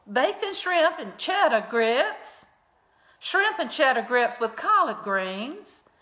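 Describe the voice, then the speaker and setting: Very slow delivery with very wide pitch swings. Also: woman. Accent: Southern US. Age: 60s. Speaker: comedy vlogger. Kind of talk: casual chat; comedic obituary reading.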